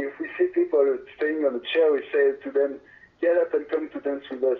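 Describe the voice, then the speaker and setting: Speaking in a French accent, a man talks. His pace is fairly quick. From France. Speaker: reggae band singer. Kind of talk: interview. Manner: halting.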